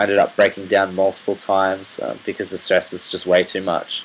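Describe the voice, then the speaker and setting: A man's voice in an Australian accent, over noticeable background noise. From Australia, rural New South Wales. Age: 20s. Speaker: medical student sharing personal story. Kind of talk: personal testimony video. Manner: hesitant, many fillers.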